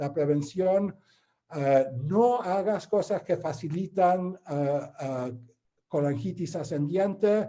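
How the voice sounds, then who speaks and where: With a non-native accent, a man talks at a very slow pace in a high pitch with a dark, mellow tone. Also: ordinary pitch variation. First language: not Spanish (speaking Spanish). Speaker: interventional radiologist. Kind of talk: lecture. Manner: halting.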